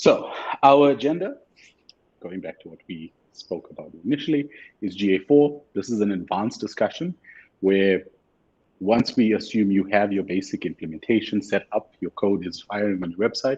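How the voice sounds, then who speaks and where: Fairly low in pitch, a man talks with lively intonation and big swings in loudness. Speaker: webinar trainer. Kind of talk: webinar tutorial. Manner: fast.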